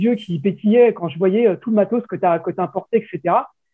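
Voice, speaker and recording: A man speaks at a fairly slow pace. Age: 40s. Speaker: skating website founder. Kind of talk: interview.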